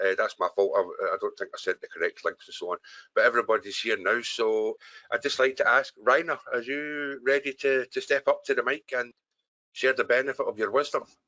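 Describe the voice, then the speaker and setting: A man speaks with a Scottish accent. His pace is fairly quick. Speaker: webinar host, software business owner. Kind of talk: live webinar Q&A. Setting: online webinar call.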